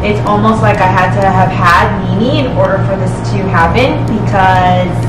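Music plays in the background as a woman speaks at a fairly slow pace amid audible room echo. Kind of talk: interview answer. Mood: warm, personal storytelling. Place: home room.

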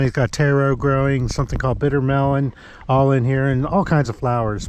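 A very fast male voice, monotone and flat, with a dry, echo-free sound over light background noise. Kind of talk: casual vlog chat. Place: garden. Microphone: phone near.

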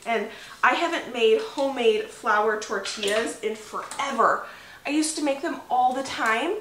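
The voice is raised and projected, and audible room echo surrounds it. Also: woman. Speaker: homestead vlogger. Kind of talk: casual vlog chat. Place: home room.

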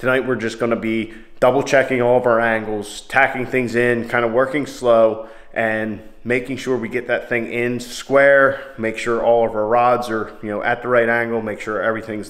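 Against a quiet background, a man speaks at a moderate pace with a monotone, flat intonation. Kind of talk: casual vlog chat. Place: garage. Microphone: phone near.

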